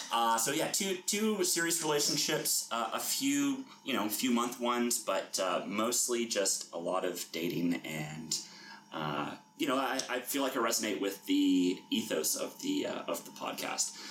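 The man speaks at a fairly slow pace and a medium pitch with a Canadian accent. His pitch swings very widely, and there is noticeable background noise. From Canada, Toronto. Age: 30s. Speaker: banker, dating podcast guest. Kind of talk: casual chat. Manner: halting, many fillers.

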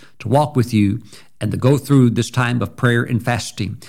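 A man's medium-pitched voice with a warm, upbeat tone and a Southern US accent. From US South, Mississippi. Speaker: pastor. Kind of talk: communion prayer, liturgical and devotional, thanking God in repeated litany. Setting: recorded video address to viewers. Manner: fervent, rhythmic repetition of 'we thank you' building in intensity; warm, encouraging, upbeat.

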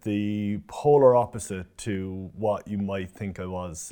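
A man's fairly low voice with a dark, mellow tone and fairly even intonation. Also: very clean recording, silent background. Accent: Cork. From Ireland, Cork city. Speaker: personal trainer. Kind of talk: interview.

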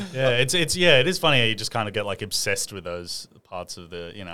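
This man talks at a very fast pace with hardly any pauses. His tone is bright and sharp, with an Australian accent. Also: big swings in loudness. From Sydney, Lane Cove. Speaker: comedian. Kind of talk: casual chat.

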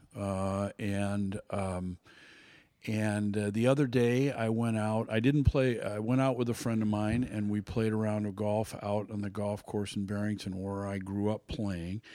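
A man talks with fairly low pitch, a dark, mellow tone and fairly even intonation. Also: fairly slow pace. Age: 70s. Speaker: golf instructor. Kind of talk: casual chat. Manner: halting, many filler words.

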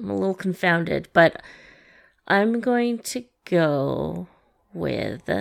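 A woman talking at a very slow pace, with long, frequent pauses. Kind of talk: casual chat about movies.

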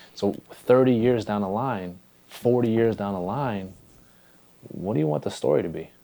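This man's voice is fairly low in pitch, with a dark, mellow tone. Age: 20s. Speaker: podcast host. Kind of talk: casual interview chat. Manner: animated.

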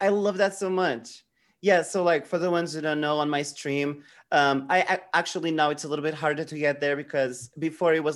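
On a very clean recording with a silent background, a man with a fairly high pitch speaks at a fairly quick pace with fairly even intonation. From Portugal. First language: Portuguese. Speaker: drag queen streamer. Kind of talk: casual chat.

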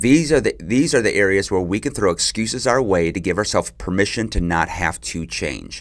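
A man talks in a normal speaking voice at a fairly low pitch. His intonation is lively, and he speaks at a fairly quick pace with hardly any pauses. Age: 40s. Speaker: marriage podcast host. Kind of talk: solo advice podcast monologue.

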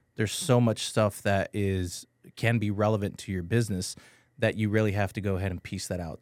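A man with an American accent in an ordinary speaking voice, fairly low-pitched and fairly quick, with fairly even intonation, on a very clean recording with a silent background and a dry, close sound with no echo. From Texas, San Antonio. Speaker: IT and cybersecurity business owner. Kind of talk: radio interview. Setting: studio.

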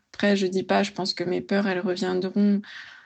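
Fairly even intonation in a plain, everyday voice. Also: woman. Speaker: pharmacy student. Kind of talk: voice message. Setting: voice message.

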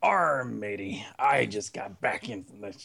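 The speaker puts on a raspy character voice. The pace is fairly slow. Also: man, fairly low pitch for a man. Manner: brief, playful, breaks down and cannot hold it.

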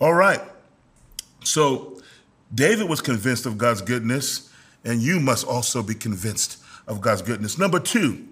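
An animated male voice with very wide pitch swings. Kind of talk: preacher healing. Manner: commanding, exhorting.

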